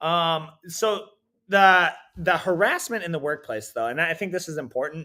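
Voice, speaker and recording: A man speaks loudly at a high pitch with ordinary pitch variation, recorded very cleanly against a silent background. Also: moderate pace. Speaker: jiu-jitsu coach. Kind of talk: casual chat. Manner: halting, many restarts.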